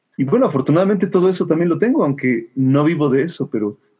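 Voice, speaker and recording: A man speaks with a Mexican accent. His pitch varies in an ordinary way. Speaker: musician and music teacher. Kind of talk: casual interview.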